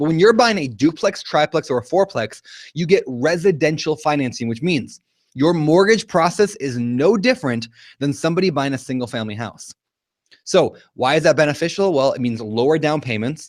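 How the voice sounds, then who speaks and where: Energetic in tone, a man talks fairly quickly at a fairly high pitch with lively intonation. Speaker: real estate investor and educator. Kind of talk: webinar presentation. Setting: live online broadcast. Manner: fast.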